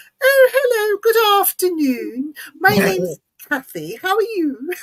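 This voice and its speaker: A female-sounding voice, put on as a character, pitched extremely high. She talks in a raised, projected voice at a fairly slow pace. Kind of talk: posh, polite telephone voice. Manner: formal, overly polite.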